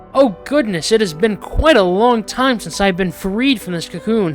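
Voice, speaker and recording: A put-on character voice at a fairly high pitch moves at a moderate pace over clear music in the background. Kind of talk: polite, refined. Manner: unexpected for an orc.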